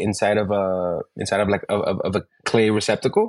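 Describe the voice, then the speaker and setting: In an ordinary speaking voice, a man talks at a moderate pace with a fairly low pitch and ordinary pitch variation. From New York, raised; born in Ecuador. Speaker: bartender, bar creative director. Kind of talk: interview. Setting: remote call.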